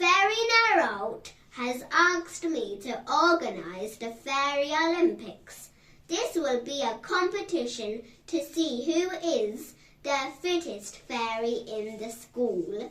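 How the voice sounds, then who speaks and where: A woman uses a put-on character voice with a high pitch. She goes at a fairly slow pace. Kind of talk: bedtime story. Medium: read story. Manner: brisk, schoolteacherly.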